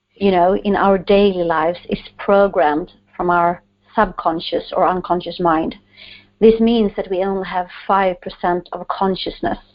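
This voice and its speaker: Delivered in a Swedish accent, the speech is monotone, with flat intonation. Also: woman, medium pitch for a woman, moderate pace. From Sweden. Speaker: author and coach. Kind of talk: interview.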